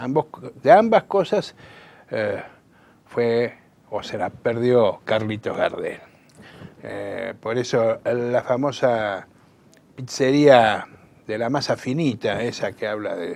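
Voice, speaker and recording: Very slowly and with long, frequent pauses, a man talks in big swings of loudness. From Buenos Aires, Argentina. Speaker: political activist and communicator. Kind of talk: interview. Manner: halting, many fillers.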